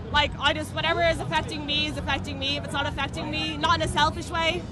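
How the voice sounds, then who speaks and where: A very fast Irish accent over music in the background. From Ireland. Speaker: street interviewee. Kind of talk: street interview.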